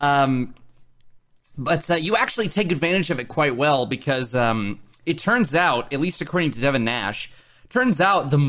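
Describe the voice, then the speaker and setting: In an American accent, a man with a normal speaking voice talks at a fairly high pitch with lively intonation. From Oklahoma. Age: 20s. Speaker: podcast host. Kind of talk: casual interview chat.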